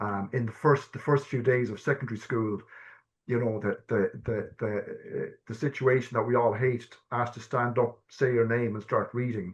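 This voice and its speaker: At a moderate pace, a man with an Irish accent speaks at medium pitch, somewhat breathy and with fairly even intonation, against a quiet background. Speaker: person who stammers, guest speaker. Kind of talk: personal testimony in a webinar. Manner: halting, many fillers and repetitions.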